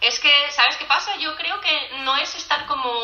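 A woman's voice carries audible room echo. Noticeable background noise runs beneath it. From Catalonia, Spain (near Barcelona). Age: 30s. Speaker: podcast guest, migrant. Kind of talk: casual chat.

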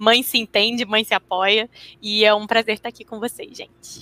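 A woman talks at a fairly quick pace with a fairly high pitch. Hers is an unremarkable speaking voice. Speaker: interpreter and translator. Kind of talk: casual chat.

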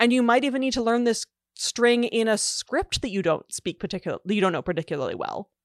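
With an unremarkable speaking voice, a woman talks fairly quickly at a fairly high pitch with lively intonation, the sound dry and close with no echo over a quiet background. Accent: Canadian. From Canada. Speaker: linguist and author. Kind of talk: casual interview. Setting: video call.

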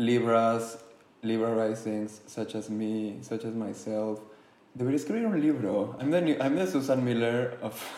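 With audible room echo, a man at medium pitch speaks very slowly with ordinary pitch variation. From Mexico City. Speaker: podcast co-host. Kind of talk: casual chat.

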